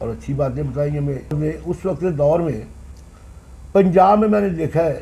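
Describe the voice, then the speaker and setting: Fairly high, somewhat breathy male voice, dark and mellow in tone, with ordinary pitch variation. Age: 60s. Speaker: former municipal councillor. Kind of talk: interview.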